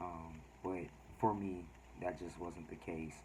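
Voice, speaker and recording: This is a man with a very deep, low pitch. Audible room echo surrounds his voice. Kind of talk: casual vlog talk. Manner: halting, many fillers.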